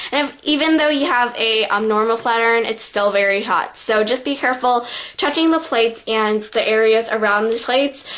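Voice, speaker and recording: A fairly high-pitched woman at a fairly quick pace with hardly any pauses, ordinary pitch variation, and noticeable background noise. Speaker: beauty vlogger. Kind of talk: tutorial. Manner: casual, filler-heavy.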